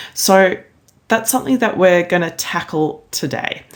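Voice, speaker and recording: At a moderate pace, a woman speaks with an Australian accent. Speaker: maths education consultant. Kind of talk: recorded conference presentation.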